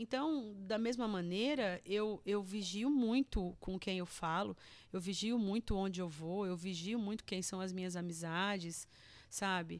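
A woman of medium pitch talks at a fairly slow pace with ordinary pitch variation in a very clean recording with a silent background. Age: 40s. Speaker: churchgoer, recovered drug addict. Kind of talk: testimony. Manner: halting, repetitive.

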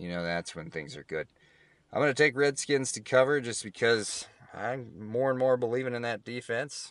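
In an American accent, a man with an unremarkable speaking voice talks at a moderate pace and medium pitch, his intonation lively and his loudness swinging widely. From Kansas. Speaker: podcast host. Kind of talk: casual solo talk. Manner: casual.

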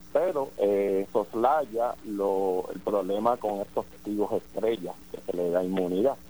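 A man speaks very slowly with hardly any pauses, his pitch fairly low. His tone is dark and mellow, with ordinary pitch variation. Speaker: defense lawyer. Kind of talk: phone interview.

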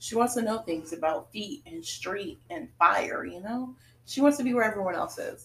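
A woman speaks at a moderate pace in a fairly high pitch. Her voice moves through very wide pitch swings. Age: 20s. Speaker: podcast co-host. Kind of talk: casual chat.

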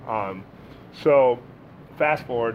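The man's intonation stays fairly even throughout. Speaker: business owner and managing director. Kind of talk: casual interview chat. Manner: loud, sociable talker.

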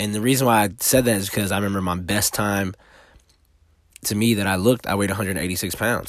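A man speaks very fast in a fairly low voice with fairly even intonation. The recording is very clean, with a silent background. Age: 30s. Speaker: podcaster. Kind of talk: casual monologue. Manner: casual.

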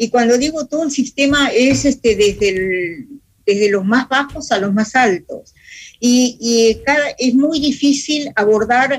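Her pitch high, a woman speaks with ordinary pitch variation. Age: 80s+. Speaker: peace activist and columnist. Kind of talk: radio debate. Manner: halting.

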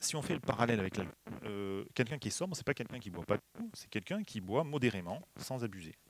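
Talking at a very fast pace, a man of medium pitch makes very wide pitch swings and big swings in loudness. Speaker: preacher. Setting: church. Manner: warm, light humor, earnest and exhortative when applying the text.

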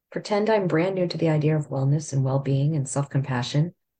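A woman's very deep, low pitch, somewhat breathy, with a dark, mellow tone and ordinary pitch variation. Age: 50s. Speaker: podcast host. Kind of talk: casual chat.

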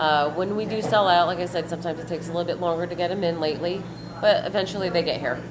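Amid noticeable background noise and audible room echo, a woman speaks very fast at a fairly low pitch in a monotone, flat way. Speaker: cafe owner. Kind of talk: casual interview. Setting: in a cafe.

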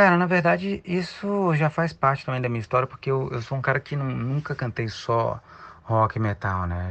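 A man with an ordinary speaking voice, lively intonation and a moderate pace. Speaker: rock singer and musical actor. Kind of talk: interview.

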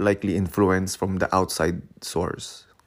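A man with a Filipino accent speaks at a fairly low pitch. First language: Tagalog. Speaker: podcast host. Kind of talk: solo podcast monologue. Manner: hesitant, many fillers.

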